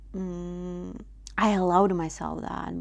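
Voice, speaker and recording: A woman talks very slowly, and the room around her gives an audible echo. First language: not English. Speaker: vlogger. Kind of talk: personal reflection monologue. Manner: halting, many fillers.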